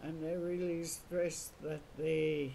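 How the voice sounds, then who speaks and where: A woman speaks in a very deep, low pitch with monotone, flat intonation. Audible room echo surrounds her voice. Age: 70s. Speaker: residential school survivor. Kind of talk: oral history interview.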